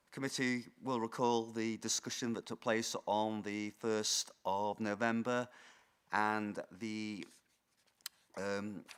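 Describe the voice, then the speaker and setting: Speaking very slowly, a man holds a medium pitch in a monotone, flat intonation. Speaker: council planning officer. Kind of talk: formal committee presentation. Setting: council committee meeting. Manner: hesitant, many fillers.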